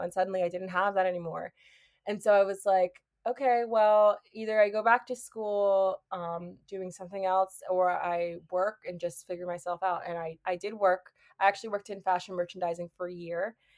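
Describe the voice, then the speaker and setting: An unremarkable speaking voice with an American accent, moving at a moderate pace with fairly even intonation in a dry, close sound with no echo. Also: woman. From US Northeast. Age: 20s. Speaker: podcast host. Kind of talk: casual chat. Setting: video call.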